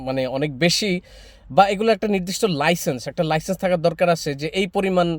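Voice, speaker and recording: A man with a high pitch talks with ordinary variation in it. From Bangladesh, Noakhali. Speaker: political commentary YouTuber. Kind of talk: opinion monologue to camera.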